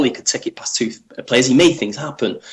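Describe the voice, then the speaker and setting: This man has a medium-pitched voice with a Manchester accent. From Manchester, northern England. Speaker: football journalist. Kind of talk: podcast interview. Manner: hesitant, many fillers.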